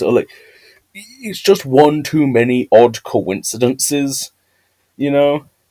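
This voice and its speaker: A man speaks in a dark, mellow tone with a British accent. The sound is dry and close, with no echo. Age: young. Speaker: YouTube lore theorist. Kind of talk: scripted video essay with asides. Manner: flat, not very expressive. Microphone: new microphone.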